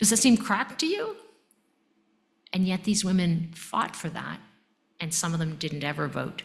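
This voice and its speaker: Somewhat breathy, a woman speaks at a moderate pace with a medium pitch. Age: 60s. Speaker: emergency physician and medical education leader. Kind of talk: lecture. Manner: animated.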